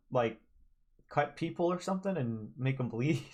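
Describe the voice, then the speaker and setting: A quiet, somewhat breathy man speaks at a fairly high pitch. His pitch varies in an ordinary way. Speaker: game streamer. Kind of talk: game let's play commentary. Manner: quiet, held-back volume.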